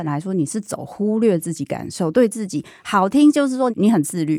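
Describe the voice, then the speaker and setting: A woman's dark, mellow voice at medium pitch, fairly quick, with very wide pitch swings, in a dry, close, echo-free recording that is very clean with a silent background. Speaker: podcast host and psychologist. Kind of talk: casual interview chat. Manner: animated.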